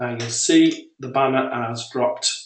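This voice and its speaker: A man with a British accent at medium pitch. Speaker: software creator. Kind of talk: tutorial. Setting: webinar.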